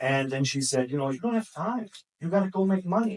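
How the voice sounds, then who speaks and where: This man speaks with a German accent. His pitch swings very widely. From Germany. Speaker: sales trainer. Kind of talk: sales training talk. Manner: casual, anecdotal.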